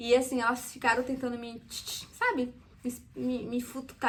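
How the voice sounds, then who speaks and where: A woman with a Brazilian accent speaks in a high voice. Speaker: immigrant vlogger, former waitress. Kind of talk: casual personal vlog.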